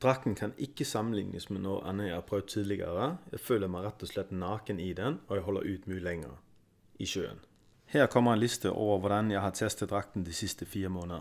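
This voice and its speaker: This man has an ordinary speaking voice, pitched fairly low, with ordinary pitch variation. He talks at a moderate pace in a very clean recording with a silent background. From Denmark, Kalundborg. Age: 30s. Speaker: freediver and product reviewer. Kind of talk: product review.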